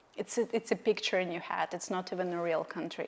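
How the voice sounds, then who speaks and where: A woman is speaking at a medium pitch. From Russia. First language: Russian. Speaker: podcast host. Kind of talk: casual interview chat.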